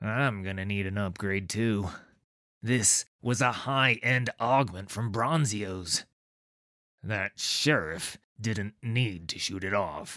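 Put-on character voice from a man, fairly low-pitched and very slow, with ordinary pitch variation. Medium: read story. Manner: whiny, nervous.

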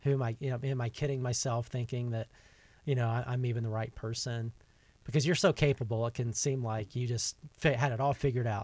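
A man with an American accent speaks at a fairly quick pace and a medium pitch. His voice is somewhat breathy, with fairly even intonation. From US South. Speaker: podcast host. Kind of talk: casual interview. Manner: frequent fillers, uh and um.

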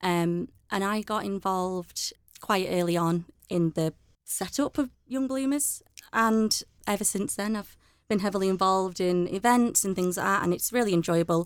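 It is a plain, everyday voice: a woman at medium pitch with ordinary pitch variation, speaking at a moderate pace. The recording is very clean with a silent background. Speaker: media account manager. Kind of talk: casual chat. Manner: frequent fillers.

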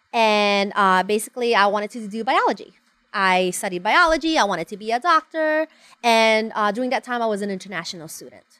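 This woman has a fairly high pitch, a bright, sharp tone and lively intonation, talking at a fairly quick pace. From Honduras. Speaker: event planner. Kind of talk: casual interview. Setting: studio with Facebook livestream.

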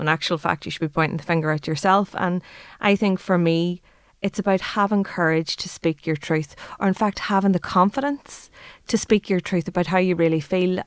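Speaking with an Irish accent, a woman with a fairly low pitch goes at a fairly quick pace with ordinary pitch variation, on a very clean recording with a silent background and a dry, close sound with no echo. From Ireland. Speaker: startup CEO. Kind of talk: casual interview. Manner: animated.

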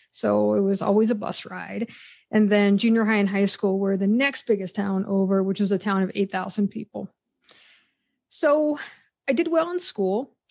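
A woman with an unremarkable speaking voice, medium pitch, ordinary pitch variation and a moderate pace. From western Pennsylvania. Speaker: psychology professor. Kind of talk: interview conversation.

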